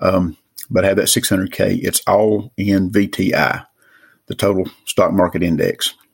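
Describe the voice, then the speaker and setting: Fairly slow speech with an Appalachian accent. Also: man. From Western North Carolina mountains. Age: 50s. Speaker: caller. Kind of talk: recorded voicemail question.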